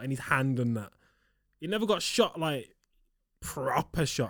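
An animated tone at a fairly quick pace, with very wide pitch swings, in a very clean recording with a silent background. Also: man. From Liverpool. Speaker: podcast co-host. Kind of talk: casual chat.

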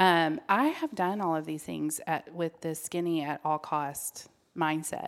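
A woman speaks fairly slowly in a plain, everyday voice, her pitch fairly low and her intonation fairly even. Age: 40s. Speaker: health professional. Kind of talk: casual chat.

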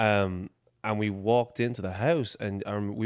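The recording is very clean, with a silent background. The speaker has an Irish accent. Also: man. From Ireland, Dublin. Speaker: athlete, exercise science graduate. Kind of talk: casual chat.

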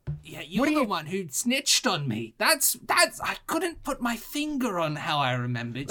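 Light background noise sits under a put-on character voice at middle pitch. The pitch swings very widely. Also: moderate pace. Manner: sardonic, wry.

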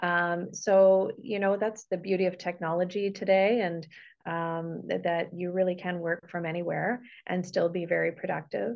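With a Canadian accent, this speaker has a normal speaking voice and talks at a moderate pace with fairly even intonation. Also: woman, fairly low pitch for a woman. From Canada, Toronto. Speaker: care partner and author. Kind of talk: interview. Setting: video call.

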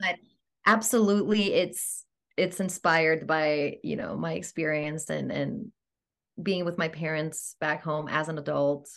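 A woman speaks at a fairly slow pace in a very deep, low voice with vocal fry, ordinary pitch variation and a quiet background. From Greece, Athens. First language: Greek. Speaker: actor and swing dancer. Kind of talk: casual interview chat. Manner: animated.

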